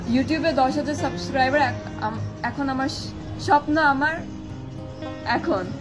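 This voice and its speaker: A woman's high-pitched voice with clear music in the background. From Bangladesh. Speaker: guest challenger. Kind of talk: casual game banter. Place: garden. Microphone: camera far.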